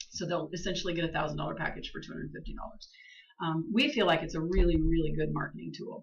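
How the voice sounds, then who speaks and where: The speech moves at a very fast pace, with big swings in loudness. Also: woman. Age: 60s. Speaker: downtown business promotion director presenting to county board. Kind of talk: presentation at public meeting. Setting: county commission meeting. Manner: casual, many filler ums.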